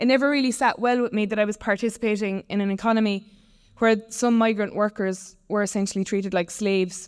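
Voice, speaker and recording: A woman with a Limerick accent, ordinary pitch variation and a very fast pace. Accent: Irish (West Limerick). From Ireland, West Limerick. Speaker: tech company founder. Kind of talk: conference talk.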